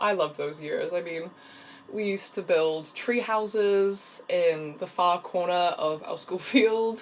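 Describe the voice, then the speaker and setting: In an American accent, a woman with a medium pitch and ordinary pitch variation talks at a fairly slow pace. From New Zealand, childhood partly in Russia. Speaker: freelance video storyteller. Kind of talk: casual personal vlog.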